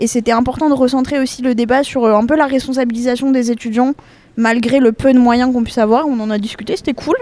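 A woman talks very fast at a high pitch, her intonation fairly even. Noticeable background noise runs behind her. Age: young. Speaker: student association member. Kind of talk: interview. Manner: casual.

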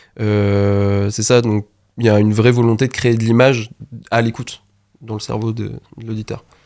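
The man speaks in a flat monotone, with long, frequent pauses and big swings in loudness. The recording is very clean, with a silent background. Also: medium pitch for a man, moderate pace. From Normandy, France. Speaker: music producer. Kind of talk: radio interview. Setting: radio studio.

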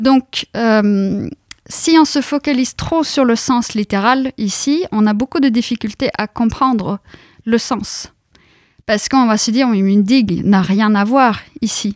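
The speech moves at a very slow pace with very even loudness. The sound is dry and close with no echo, in a very clean recording with a silent background. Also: woman, fairly high pitch for a woman, ordinary pitch variation. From central Norway. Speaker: university lecturer and researcher in linguistics. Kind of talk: radio interview.

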